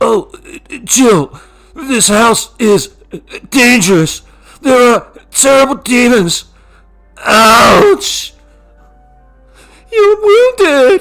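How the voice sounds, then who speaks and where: A man uses a put-on character voice with an extremely high pitch and very wide pitch swings. He talks at a very slow pace with long, frequent pauses over faint background music. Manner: hammy, awful voice acting.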